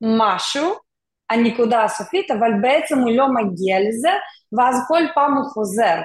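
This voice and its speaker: A woman's unremarkable speaking voice, fairly high in pitch, with lively intonation at a fairly slow pace. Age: 40s. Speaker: mentor and tech worker. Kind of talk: interview conversation.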